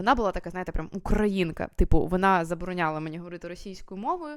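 Very fast speech from a woman at medium pitch. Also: very clean recording, silent background. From Kyiv, Ukraine. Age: 20s. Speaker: video blogger. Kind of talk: personal vlog monologue. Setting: recorded at night at home. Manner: casual, with fillers and hesitations.

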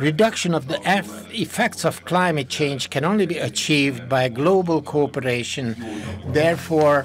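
A man speaks at a medium pace, his pitch moving in an ordinary way, while noticeable noise sits behind him. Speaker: conference host. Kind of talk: formal welcome speech. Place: hall. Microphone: podium.

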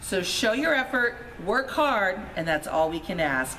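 Light background noise behind a woman speaking. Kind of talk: announcement to students. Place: hall. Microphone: camera far.

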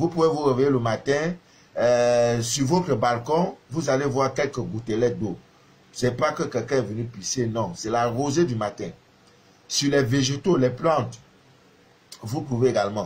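A man speaks at a fairly slow pace with long, frequent pauses. His voice is somewhat breathy, with ordinary pitch variation. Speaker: spiritual advisor and live streamer. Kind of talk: live stream monologue. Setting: Facebook live video. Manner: hesitant, many fillers. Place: home room. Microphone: phone near.

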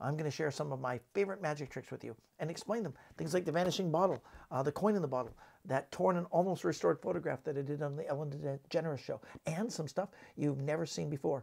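A man talks at a fast pace with few pauses, fairly high pitch, ordinary pitch variation, a slightly mellow tone and vocal fry.

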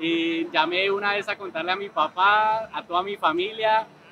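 A man with a high pitch speaks in a dry sound with no echo, though noticeable background noise is present. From Colombia. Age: 20s. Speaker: esports player. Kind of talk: interview testimony. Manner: hesitant, many fillers. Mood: happy, emotional, grateful. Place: hall.

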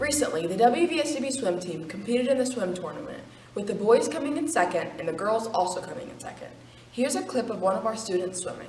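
Over light background noise and audible room echo, a woman talks at a very fast pace with big swings in loudness. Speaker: news presenter. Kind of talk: school news announcement. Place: hall. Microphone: camera far.

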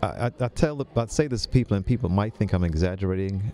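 A man talks at a fairly quick pace in a fairly low pitch with ordinary pitch variation, in a dry sound with no echo and light background noise. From Jamaica, raised in New York City. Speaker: director of a health ministry lifestyle center; podcast guest. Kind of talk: interview. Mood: calm, earnest. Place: studio. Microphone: studio mic.

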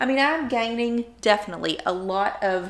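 Her tone bright and sharp, a woman talks at a moderate pace with ordinary pitch variation. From US South. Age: 50s. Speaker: YouTuber; vlogger. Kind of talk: vlog monologue. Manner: animated. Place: home room. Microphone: phone near.

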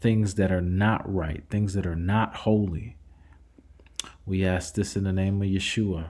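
Very deep and low, a man's voice has a dark, mellow tone. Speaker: religious channel host leading prayer. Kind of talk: fervent intercessory prayer addressed to God, repeatedly invoking Father. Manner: earnest, pleading cadence with frequent stumbles and repetitions; hesitant, filler-heavy delivery with many uh and um.

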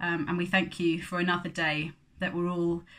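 Against a quiet background, a woman with a fairly low pitch and a bright, sharp tone speaks at a fairly slow pace. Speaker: church service host. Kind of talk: welcome and prayer. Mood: calm, prayerful. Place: home room. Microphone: phone near.

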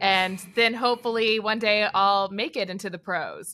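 At a moderate pace, the speech comes through in a bright, sharp tone. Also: woman. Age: 30s. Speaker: sports broadcaster; podcast guest. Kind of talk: casual interview chat. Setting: remote call from abroad. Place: home room. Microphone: video call.

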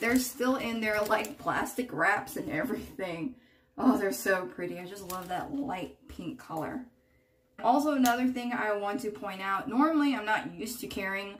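A woman at a moderate pace, with lively intonation, big swings in loudness, and light background noise. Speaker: beauty vlogger. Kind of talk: casual vlog chat. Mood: warm, chatty. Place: bathroom. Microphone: phone near.

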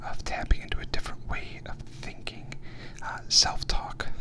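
A soft-spoken, whispering man at a moderate pace, over loud background noise. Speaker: podcast host. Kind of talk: reflective podcast monologue. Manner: close-mic soft whisper. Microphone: studio mic.

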